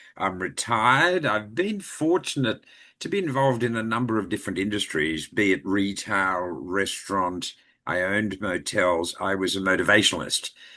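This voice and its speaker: In an Australian accent, a man speaks at a moderate pace with a fairly low pitch, a bright, sharp tone and lively intonation against a quiet background. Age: 70s. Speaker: retired actor and voiceover artist. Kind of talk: interview.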